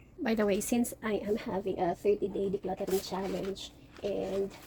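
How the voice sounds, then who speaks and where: A woman speaks at a medium pitch with noticeable background noise behind her. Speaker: mom vlogger. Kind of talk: vlog narration. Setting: at home. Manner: soft-spoken.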